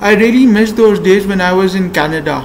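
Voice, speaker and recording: There is noticeable background noise. A man talks in a high pitch. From Pakistan. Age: 20s. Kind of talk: casual talk to camera.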